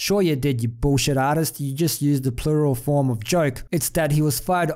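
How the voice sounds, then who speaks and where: Fairly high in pitch with ordinary variation, a man speaks in a dark, mellow tone. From outside the US. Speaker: YouTube commentator. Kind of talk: rant. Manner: animated.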